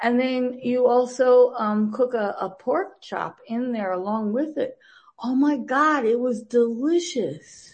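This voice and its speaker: Speaking at a very slow pace in an American accent, a woman uses a high pitch with ordinary pitch variation. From US Midwest, Green Bay, Wisconsin. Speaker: TV producer. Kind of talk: interview.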